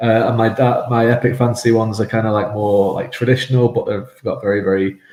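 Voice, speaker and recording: Delivery is very fast and monotone, with flat intonation. Noticeable background noise runs underneath. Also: man, medium pitch for a man. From mixed Irish and English upbringing. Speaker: fantasy author. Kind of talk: casual interview chat. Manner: halting, many fillers and repetitions.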